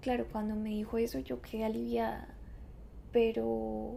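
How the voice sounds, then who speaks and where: A woman with a Bogotá accent talks at a fairly slow pace. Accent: Bogotá (rolo) Colombian Spanish. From Bogotá, Colombia. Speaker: podcast host. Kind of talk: scripted narration.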